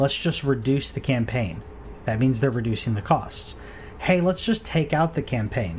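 Moderate pace from a man with a fairly high pitch and very wide pitch swings, music in the background. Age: 30s. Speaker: gaming podcast host. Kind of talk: solo casual podcast talk. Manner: halting, many fillers and repeats.

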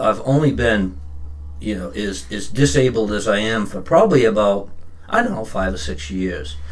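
There is audible room echo as a man with an American accent speaks at a fairly low pitch and a fairly slow pace. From Maine, US (Standish/Raymond area). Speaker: powerlifter. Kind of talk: casual chat. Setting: studio.

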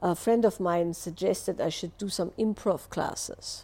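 With an Austrian accent, a woman speaks at a medium pitch with fairly even intonation on a very clean recording with a silent background. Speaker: relationship and wellness teacher. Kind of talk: live Q&A answer, explanatory talk. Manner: explanatory, hesitant with filler words.

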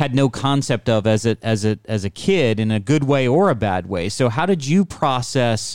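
In a very clean recording with a silent background, a man speaks at a medium pitch in a normal speaking voice. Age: 50s. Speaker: podcast host. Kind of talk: casual interview. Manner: playful, joking.

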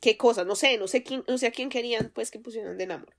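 A woman with a Colombian accent talks at a very fast pace, her pitch varying in an ordinary way. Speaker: podcast co-host. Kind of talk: casual chat.

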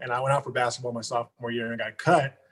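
Somewhat breathy, a man speaks at medium pitch with an American accent. His intonation is monotone and flat. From Stockton, California. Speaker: registered nurse. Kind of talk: casual interview.

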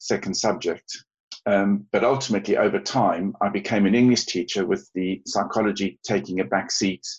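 A man with a South African accent and a fairly low pitch. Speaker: teacher and therapist. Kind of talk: interview. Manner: halting, many ums.

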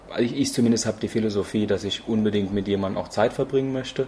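A man speaks very fast in a fairly low, dark, mellow voice that is somewhat breathy, with fairly even intonation. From Germany. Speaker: couchsurfing host. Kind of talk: interview.

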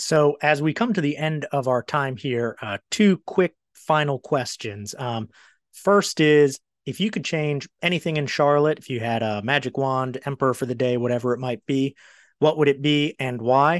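An ordinary speaking voice with an American accent talks at a moderate pace with ordinary pitch variation, recorded with a dry, close sound with no echo against a quiet background. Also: man, fairly high pitch for a man. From Maryland, US. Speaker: podcast host, former reporter. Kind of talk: casual interview.

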